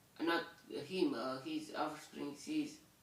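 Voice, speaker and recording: In a Romanian accent, a man speaks at a very slow pace with audible room echo. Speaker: bible reader. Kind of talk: bible commentary. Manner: halting, many fillers.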